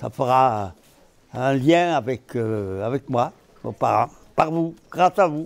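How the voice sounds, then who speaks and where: Lively intonation marks this man's speech. He goes at a very slow pace with long, frequent pauses. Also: medium pitch for a man. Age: 90s. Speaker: former French Resistance fighter. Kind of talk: testimony talk to schoolchildren.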